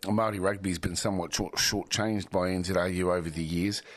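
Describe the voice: A man talks at a fairly quick pace with fairly even intonation.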